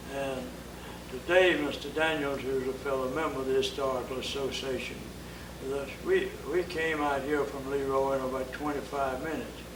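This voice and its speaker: With audible room echo and noticeable background noise, a man with an Alabama accent speaks at a moderate pace and a fairly high pitch in a monotone, flat delivery. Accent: Southern US (Alabama). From US South. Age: 80s+. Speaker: historical society member. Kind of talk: oral history interview.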